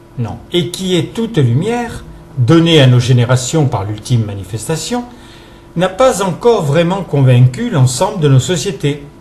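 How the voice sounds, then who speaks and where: The man speaks at a fairly slow pace with very wide pitch swings. There is noticeable background noise. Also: fairly high pitch for a man. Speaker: presenter reading a text written by someone else. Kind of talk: reading of a reflective philosophical text.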